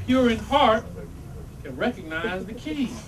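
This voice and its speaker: Audible room echo and clear background noise behind a man speaking at a moderate pace. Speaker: religious teacher. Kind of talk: religious talk to congregation. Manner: animated.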